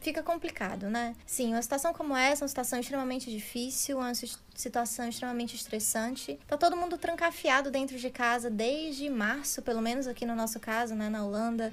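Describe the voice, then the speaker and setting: A woman talks with hardly any pauses. Her pitch is high. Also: ordinary pitch variation, fairly quick pace. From Ceará, Brazil. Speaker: podcast guest. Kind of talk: casual chat.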